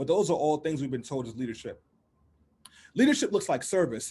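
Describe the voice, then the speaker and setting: A man's animated, somewhat breathy voice, fairly high in pitch, with lively intonation against a quiet background. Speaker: political campaign director. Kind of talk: panel talk.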